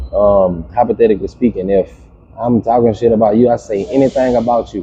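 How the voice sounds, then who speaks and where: A man at a medium pitch, with a dark, mellow tone, a relaxed tone, fairly even intonation and a fairly quick pace. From Louisiana, US South. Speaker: podcast guest. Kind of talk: casual chat. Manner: relaxed, filler-heavy speech.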